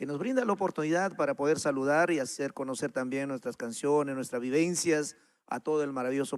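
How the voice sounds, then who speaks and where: A man talks at a fairly quick pace with ordinary pitch variation, in an ordinary speaking voice. The recording is very clean, with a silent background. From Peru, Huánuco highlands. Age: 60s. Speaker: folk singer. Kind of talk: interview.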